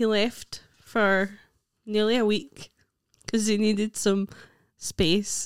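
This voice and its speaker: A woman with a Scottish accent talks in a fairly high, monotone voice at a very slow pace with long, frequent pauses, the sound dry and close with no echo. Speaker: comedian. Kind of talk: casual chat.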